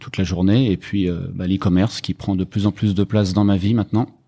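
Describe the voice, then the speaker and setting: A man talks at a moderate pace with fairly even intonation, his pitch fairly low and his tone dark and mellow. The recording is very clean, with a silent background. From Brittany, France (Rennes). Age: 50s. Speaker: e-commerce entrepreneur. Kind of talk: podcast interview.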